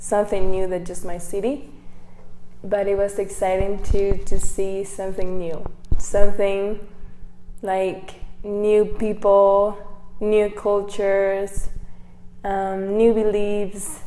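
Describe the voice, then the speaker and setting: A woman speaks very slowly at a medium pitch, with long, frequent pauses, a monotone, flat delivery, noticeable background noise and audible room echo. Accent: Mexican. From Mexico, Baja California. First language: Spanish. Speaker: missionary. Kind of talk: testimony. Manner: halting.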